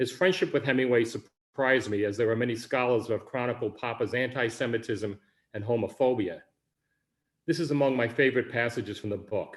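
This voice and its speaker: In a very clean recording with a silent background, a man with a Bronx accent speaks at a fairly quick pace, his medium pitch showing ordinary variation. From New York City, the Bronx. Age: 60s. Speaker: writer, Vietnam veteran. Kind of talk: reading aloud of own memoir.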